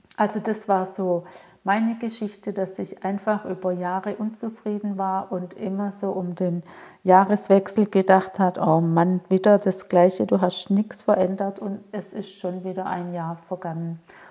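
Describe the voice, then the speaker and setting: A woman with a dark, mellow tone delivers her lines at a fairly slow pace, her intonation monotone and flat. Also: medium pitch for a woman. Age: 50s. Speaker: mentor and coach for women. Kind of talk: solo podcast monologue.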